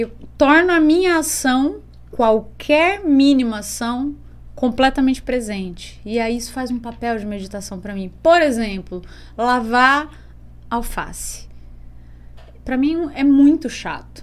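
Her intonation lively, a woman with a high pitch speaks at a fairly slow pace, pausing often and at length. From interior of São Paulo state (Jaú, Bauru). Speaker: musician. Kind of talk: casual chat.

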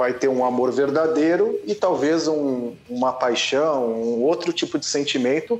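Noticeable background noise surrounds a man with a fairly high pitch. He talks at a fairly slow pace with ordinary pitch variation. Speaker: football podcast panelist. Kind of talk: casual chat. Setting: virtual recording session.

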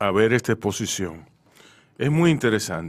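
The speaker talks at a fairly slow pace with vocal fry and very wide pitch swings. The recording is very clean, with a silent background. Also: man. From Dominican Republic, Santo Domingo. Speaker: radio host. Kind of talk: radio interview. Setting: radio studio.

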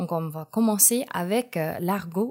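Using lively intonation at a very slow pace, a woman with an American accent speaks in a medium pitch. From United States. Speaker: columnist. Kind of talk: personal column.

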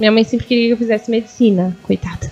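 There is noticeable background noise as a woman speaks with ordinary pitch variation. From São Paulo state, Brazil (Guarulhos). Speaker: stand-up comedian. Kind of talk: casual interview chat. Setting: live radio/online stream.

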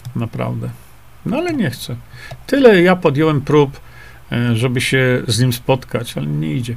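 A man pauses long and often while talking at a moderate speed, with noticeable noise in the background. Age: 60s. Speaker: independent journalist and health author. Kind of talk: live stream talk reading viewer comments. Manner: hesitant with fillers.

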